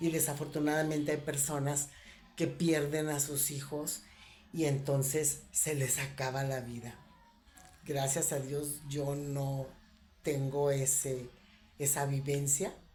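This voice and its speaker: A woman with a very deep, low, somewhat breathy voice speaks very slowly in a monotone, flat intonation, with long, frequent pauses and audible room echo. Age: 60s. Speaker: spiritual reflection vlogger. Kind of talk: reflective monologue. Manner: hesitant, with fillers.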